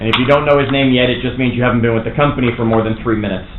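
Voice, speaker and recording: Room echo and noticeable background noise surround a man with an American accent speaking at a very fast pace. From US Northeast / Toronto area. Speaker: real estate trainer. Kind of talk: workshop lecture. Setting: classroom with live audience. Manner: animated.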